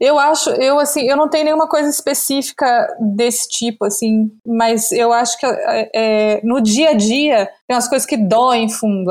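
At a moderate speed, a woman talks in a high pitch. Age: 50s. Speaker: content creator. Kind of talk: casual chat.

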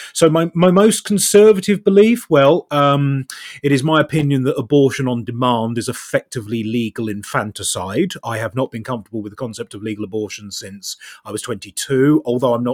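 In an English accent, a man speaks at a medium pitch and a fairly quick pace, his intonation lively and his loudness swinging widely, in a dry, close sound with no echo. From Southeast England. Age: 30s. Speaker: TikTok commentator. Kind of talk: conversational interview. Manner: wry, self-deprecating.

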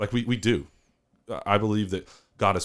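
A man with a Southern US accent talks at a fairly quick pace with ordinary pitch variation in a very clean recording with a silent background. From Northeast Arkansas. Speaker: podcast co-host, university housing staff. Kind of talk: casual chat.

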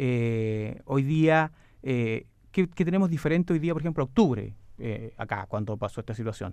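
At a moderate pace, a man with a medium pitch and lively intonation speaks in a plain, everyday voice. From southern Chile, Osorno. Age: 40s. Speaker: provincial governor. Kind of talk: radio interview. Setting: radio studio.

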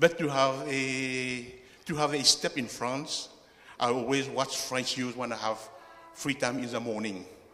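Noticeable background noise sits under this recording. A man speaks fairly slowly with ordinary pitch variation. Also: medium pitch for a man. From Mauritius. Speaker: church member. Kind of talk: testimony. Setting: church.

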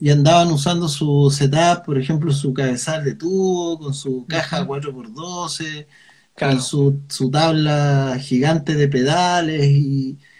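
A man with a Chilean accent speaks at a fairly slow pace, his fairly high pitch carried in a somewhat breathy voice with fairly even intonation. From Chile, Concepción. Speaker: musician, audio equipment seller. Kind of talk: casual interview chat.

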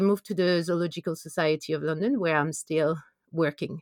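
A woman with a French accent at a fairly quick pace, in a dry, close sound with no echo. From France. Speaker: conservation biologist. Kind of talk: interview.

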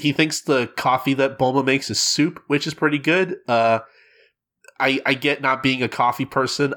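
A man speaks at a medium pitch and moderate pace, his tone bright and sharp. The recording is very clean, with a silent background. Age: 20s. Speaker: podcast host. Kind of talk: casual chat. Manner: halting, many fillers and repeats.

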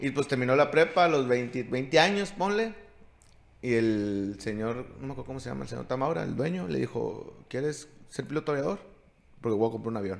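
A man speaks in an unremarkable speaking voice at medium pitch and a fairly quick pace, with big swings in loudness. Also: lively intonation. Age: 40s. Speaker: podcast host and youth sports coach. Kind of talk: casual chat.

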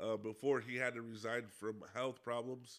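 With an American accent, a man speaks at a moderate pace and medium pitch, his intonation monotone and flat and his tone bright and sharp. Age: 30s. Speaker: podcast host. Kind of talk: casual monologue. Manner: halting, many fillers.

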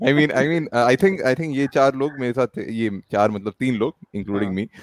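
This is an ordinary speaking voice at a moderate pace, with ordinary pitch variation and a dry, close sound free of echo. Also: man. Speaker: podcast host. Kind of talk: casual chat.

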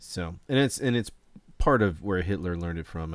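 A man with a very deep, low pitch at a fairly quick pace, on a very clean recording with a silent background. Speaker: podcast host. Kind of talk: casual chat over beers. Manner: casual, joking.

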